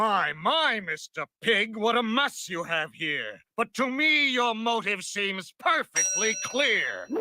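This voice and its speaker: A cartoonish character voice moves at a fairly slow pace with hardly any pauses. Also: man, high pitch for a man. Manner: smug, rhyming.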